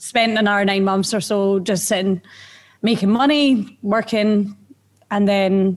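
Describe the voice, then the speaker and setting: A woman with an Edinburgh accent talks at a fairly slow pace and medium pitch. Her intonation is fairly even and her loudness very even. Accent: Scottish (Edinburgh). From Scotland, Edinburgh. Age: 30s. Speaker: bar manager. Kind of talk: casual chat. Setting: live location, same room. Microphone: echo in recording.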